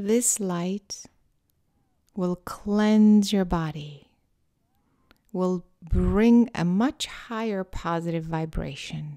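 Very slowly and with long, frequent pauses, a woman speaks in a medium pitch with a dark, mellow, calm and soothing tone and ordinary pitch variation, in a very clean recording with a silent background. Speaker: meditation guide and author. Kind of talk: guided meditation. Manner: slow, calm, soothing; soft-spoken, deliberately paced with pauses.

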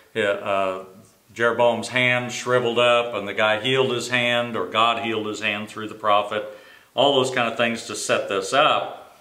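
With audible room echo around him, a man talks at a moderate pace using fairly even intonation. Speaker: Sunday school teacher. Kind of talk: Bible teaching. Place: office. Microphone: camera far.

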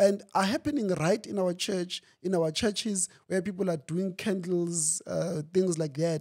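A man's high-pitched voice with ordinary pitch variation over a quiet background. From South Africa. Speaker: pastor. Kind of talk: interview. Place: studio. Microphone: studio mic.

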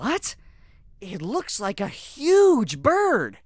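This is a put-on character voice at a fairly high pitch. Its pitch swings very widely.

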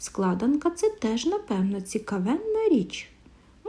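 A plain reading-aloud voice.

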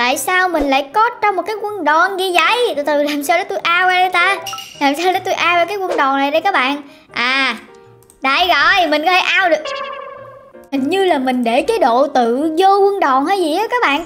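Clear music sits in the background as a woman with an extremely high-pitched voice speaks at a moderate pace. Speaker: gaming streamer. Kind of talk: casual gaming vlog chat. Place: home room. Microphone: headset.

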